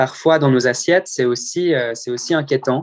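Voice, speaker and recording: Moderate pace and fairly even intonation, in a dry, close sound with no echo. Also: man. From French-speaking Switzerland (Morges). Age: 20s. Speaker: open-water swimmer. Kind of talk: interview. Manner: halting.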